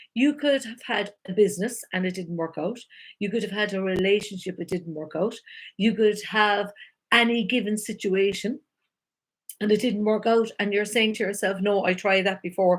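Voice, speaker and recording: A woman speaks with an Irish accent at a moderate pace. Her pitch sits in the medium range. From Ireland. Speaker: life coach. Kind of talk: live-stream talk. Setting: live video stream. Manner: animated.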